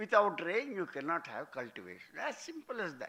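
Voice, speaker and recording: Here a man projects a raised voice. His pitch is high, and his tone is bright and sharp. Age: 80s+. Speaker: author. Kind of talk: speech at book launch.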